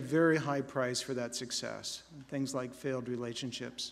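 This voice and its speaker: This man has a plain, everyday voice. He keeps a moderate pace. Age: 60s. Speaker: college president. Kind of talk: commencement speech. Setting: convocation ceremony with audience.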